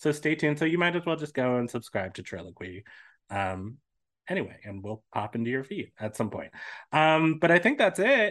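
Over a quiet background, a man with a fairly high pitch talks at a fairly quick pace, his voice swinging very widely in pitch. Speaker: podcast host. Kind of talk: casual chat, interview.

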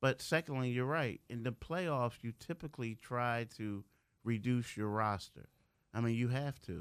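On a very clean recording with a silent background, a man with an ordinary speaking voice talks at a medium pitch and a moderate pace, with ordinary pitch variation. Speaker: sports beat writer. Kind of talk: casual studio interview.

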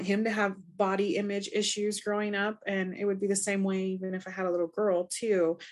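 A woman talks at a fairly quick pace and a medium pitch, in an unremarkable speaking voice. The background is quiet. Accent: American. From Montana. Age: 30s. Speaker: online health community member. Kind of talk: casual chat.

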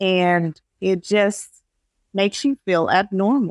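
A woman with an ordinary speaking voice talks at a medium pitch with fairly even intonation, on a very clean recording with a silent background and a dry, close sound with no echo. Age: 30s. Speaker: support group founder. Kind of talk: interview.

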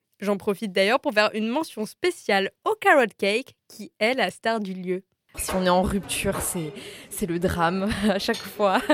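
A woman with an ordinary speaking voice talks at a fairly slow pace at a medium pitch, with ordinary pitch variation and a dry, close sound with no echo. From Strasbourg, Alsace, France. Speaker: podcast host. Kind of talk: scripted narration. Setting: on location in a café. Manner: lively.

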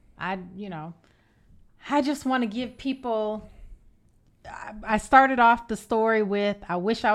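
On a very clean recording with a silent background, a woman with a fairly high pitch talks at a moderate pace in an ordinary speaking voice. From Evanston, Illinois. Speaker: podcast host. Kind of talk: casual interview chat.

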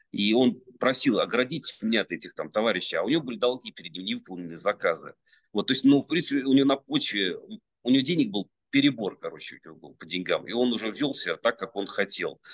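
Vocal fry runs through a man's voice at medium pitch. He speaks very fast with lively intonation. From Russia, Penza region. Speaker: sculptor. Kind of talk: casual interview chat. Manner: halting, many fillers.

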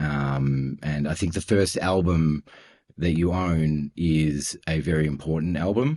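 This man talks at a fairly slow pace with an Australian accent, his pitch very deep and low. His tone is dark and mellow, with fairly even intonation and very even loudness. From Australia (Melbourne). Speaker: audio production executive. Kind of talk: interview conversation. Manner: hesitant, many fillers.

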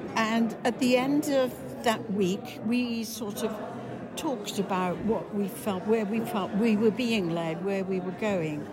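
In a Welsh accent, a woman speaks with fairly high pitch and ordinary pitch variation. Her pace is fairly slow, and background noise is noticeable. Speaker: parishioner. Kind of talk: interview.

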